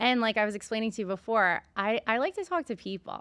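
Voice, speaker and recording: Speech moves at a fairly quick pace over a quiet background. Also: woman. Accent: strong New York. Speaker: podcast host and beverage entrepreneur. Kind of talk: casual interview chat.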